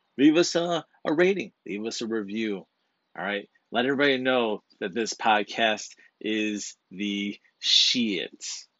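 A man speaks at a fairly slow pace with lively intonation. He has an ordinary speaking voice. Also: medium pitch for a man. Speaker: podcast co-host. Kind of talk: casual chat.

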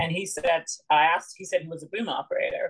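A woman with a Canadian accent speaks at a fairly quick pace. Her intonation is monotone and flat. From Saskatchewan, Canada (born in London, England). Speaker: costume designer. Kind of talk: casual chat.

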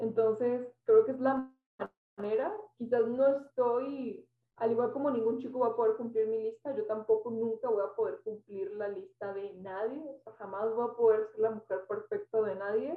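The woman's voice is fairly high in pitch, with ordinary variation. Her pace is moderate. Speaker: podcast co-host. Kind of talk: casual chat. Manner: loud; animated.

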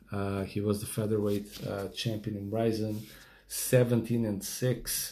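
A man's fairly low, dark, mellow voice at a fairly slow pace, monotone and flat, with audible room echo. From Portugal. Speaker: MMA podcast host. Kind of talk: casual solo podcast rundown. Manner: casual with many fillers.

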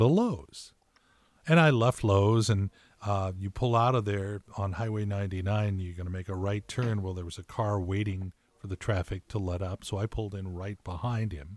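With an American accent and a plain, everyday voice, a man speaks at a fairly low pitch and moderate pace, with ordinary pitch variation and a dry, close sound with no echo. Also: big swings in loudness, very clean recording, silent background. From California. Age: 60s. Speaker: podcast co-host. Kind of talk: casual chat.

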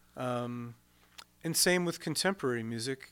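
A man talks very slowly, his medium pitch varying in an ordinary way. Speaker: pastor and retired army chaplain. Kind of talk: casual chat. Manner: soft-spoken.

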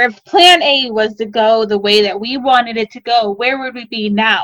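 A woman with a Midwestern American accent speaks in a fairly high voice. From US Midwest. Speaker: baker and small business owner. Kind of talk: interview storytelling. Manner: animated.

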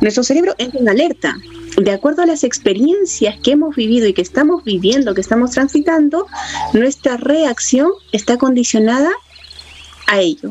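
A woman's high-pitched voice with lively intonation, very even loudness and a moderate pace over noticeable background noise. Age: 40s. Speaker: spiritual teacher. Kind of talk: spiritual talk.

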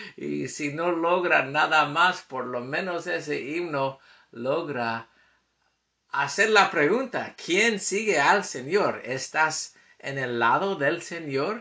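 Lively in intonation, a man with an American accent speaks at a very slow pace, his tone bright and sharp and his pitch fairly high. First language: English (speaking Spanish). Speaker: scripture teacher podcaster. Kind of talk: scripture lesson. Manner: halting.

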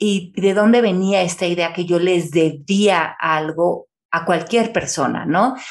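This woman's voice sits fairly low in pitch and shows ordinary pitch variation. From Mexico City. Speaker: author and speaker. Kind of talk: conversational interview.

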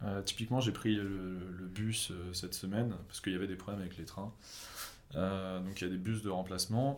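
Fairly quick and fairly low, a man's speech holds fairly even intonation. He has an unremarkable speaking voice. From France. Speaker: YouTuber. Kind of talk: casual chat.

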